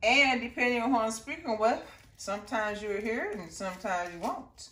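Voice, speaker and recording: A woman with an American accent speaks at a fairly quick pace, with a warm tone, lively intonation and a fairly high pitch. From US Midwest. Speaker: cooking channel host. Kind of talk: cooking tutorial. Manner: warm, chatty.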